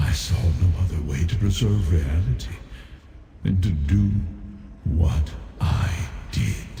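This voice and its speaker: A man uses a put-on character voice at a very deep, low pitch. He talks at a fairly slow pace over clear background noise. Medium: machinima. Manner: solemn, measured.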